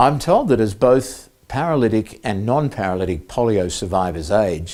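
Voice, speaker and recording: A man with an Australian accent speaks at a moderate pace, his fairly low voice dark and mellow in tone. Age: 60s. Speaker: polio survivor and advocacy volunteer. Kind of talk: prepared presentation. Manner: formal.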